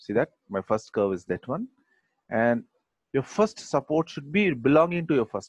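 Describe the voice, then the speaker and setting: A man's fairly slow, lively-intoned speech, dry and close with no echo. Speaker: software instructor. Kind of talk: tutorial.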